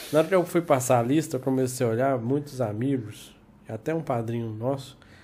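The man's voice has a dark, mellow tone. He talks at a fairly quick pace. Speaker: podcast host. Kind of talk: casual chat. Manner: animated.

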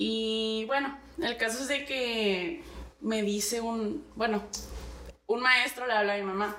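A very slow pace with long, frequent pauses and ordinary pitch variation, plus audible room echo and noticeable background noise. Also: woman, fairly high pitch for a woman. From Navojoa, Sonora, Mexico. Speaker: artist and entrepreneur. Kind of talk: casual chat.

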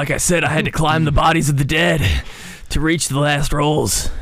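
A man's gravelly, fairly high put-on character voice at a moderate pace

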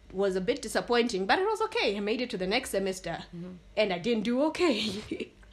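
A woman's fairly high, very fast voice with lively intonation and hardly any pauses, over noticeable background noise. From Botswana and Zambia. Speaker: guest, medical licentiate and baker. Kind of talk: casual chat.

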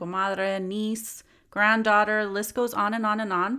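Woman with a Californian accent, medium pitch, and a bright, sharp tone, at a fairly slow pace in a very clean recording with a silent background. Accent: Californian American English. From US West, Los Angeles area. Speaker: podcast host and psychologist. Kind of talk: solo podcast monologue. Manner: casual, conversational with fillers.

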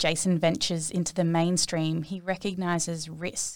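A woman speaks in an Australian accent at a fairly low pitch and a moderate pace. The recording is very clean, with a silent background. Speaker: podcast host. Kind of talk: interview.

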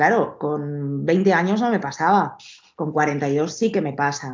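A woman speaks with lively intonation. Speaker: personal trainer. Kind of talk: interview. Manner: halting.

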